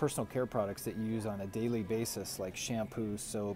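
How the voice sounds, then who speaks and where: Music plays in the background behind a man speaking at a fairly low pitch. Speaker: chiropractor. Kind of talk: health advice vlog. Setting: grocery store aisle. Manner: soft-spoken; casual with many fillers.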